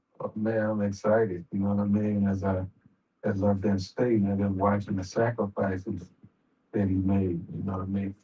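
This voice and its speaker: A man with a fairly low pitch speaks at a moderate pace in a dark, mellow, somewhat breathy tone, his intonation monotone and flat. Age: 60s. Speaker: boxing manager. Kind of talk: interview.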